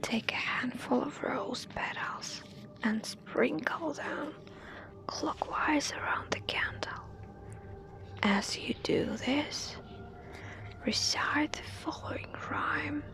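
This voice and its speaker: A woman whispers at a very slow pace, leaving long, frequent pauses over noticeable background noise. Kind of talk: ASMR horror story reading. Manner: soft-spoken.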